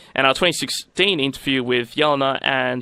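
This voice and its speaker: A man's medium-pitched voice with an Australian accent, bright and sharp in tone, with vocal fry. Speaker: radio host. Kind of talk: radio outro announcement; casual interview.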